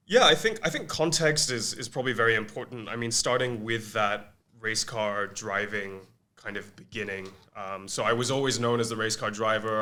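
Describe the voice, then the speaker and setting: A man's bright, sharp voice at medium pitch, with fairly even intonation and a moderate pace. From Malaysia. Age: 20s. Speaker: agency co-founder and former race car driver. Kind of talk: podcast interview.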